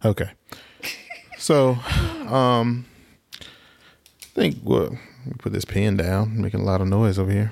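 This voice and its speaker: Long, frequent pauses break up a man's fairly slow speech in a Southern US accent, his fairly low pitch carrying ordinary variation. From southwest Alabama. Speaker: podcast co-host. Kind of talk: casual chat. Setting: studio in Atlanta.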